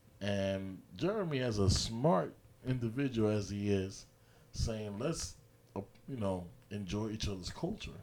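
A man with an American accent speaks in a fairly low voice with ordinary pitch variation. His pace is fairly slow, with long, frequent pauses and audible room echo. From New York. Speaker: sports podcast co-host. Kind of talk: casual chat.

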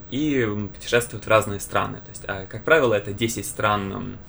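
There is noticeable background noise as a man speaks at a moderate pace. His pitch is fairly low. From Ukraine, Kyiv. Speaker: student podcast host. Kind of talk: casual chat.

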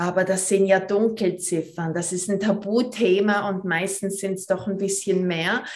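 Hers is an unremarkable speaking voice, as a woman talks fairly slowly at a medium pitch with fairly even intonation. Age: 40s. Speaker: movement teacher and pelvic floor trainer. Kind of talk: podcast interview.

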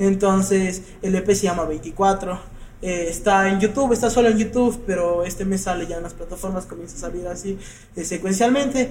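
Through noticeable background noise and audible room echo, a man with a high pitch speaks at a moderate pace, showing ordinary pitch variation and big swings in loudness. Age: 20s. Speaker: tattoo artist and trap musician. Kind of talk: casual chat.

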